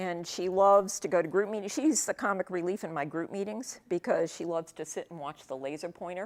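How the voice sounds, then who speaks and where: The speaker talks at a fairly quick pace with a New England accent and hardly any pauses. Loudness swings widely while pitch varies in an ordinary way. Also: woman, medium pitch for a woman. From New England, Worcester, Massachusetts. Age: 60s. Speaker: professor. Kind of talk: casual talk to an audience. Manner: many filler ums, conversational.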